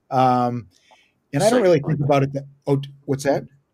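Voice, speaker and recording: Speaking fairly quickly with a Boston accent, a man has a somewhat breathy, fairly high-pitched voice. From US Northeast, Boston area (Watertown). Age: 50s. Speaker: comedian. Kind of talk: stand-up.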